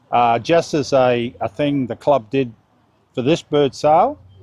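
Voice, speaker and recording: A man in an Australian accent speaks with ordinary pitch variation. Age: 60s. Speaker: bird club president. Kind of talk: casual interview.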